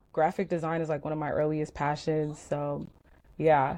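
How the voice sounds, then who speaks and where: The voice has a dark, mellow tone and an American accent. Its pace is moderate. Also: woman. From US, Sierra Leonean family. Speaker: writer and creative director, stan account co-founder. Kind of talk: podcast interview.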